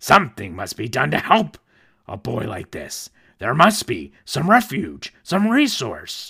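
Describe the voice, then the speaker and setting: A man's medium-pitched voice at a fairly slow pace, with big swings in loudness, on a very clean recording with a silent background. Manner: sneering, grumpy, later earnest.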